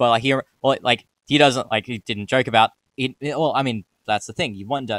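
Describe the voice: Recorded with a dry, close sound and no echo, a man speaks at a medium pitch with a fairly bright tone and ordinary pitch variation. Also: moderate pace.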